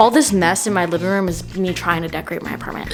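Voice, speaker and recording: A woman talks at a very fast pace in an animated tone. There is audible room echo and music in the background. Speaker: lifestyle vlogger. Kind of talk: casual vlog chat. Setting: at home, filmed on tripod.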